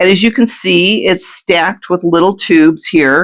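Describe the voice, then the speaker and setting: With lively intonation, a woman talks in a medium pitch. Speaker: local pollinator program volunteer. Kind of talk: radio interview. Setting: community radio studio during power outage. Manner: hesitant, many fillers.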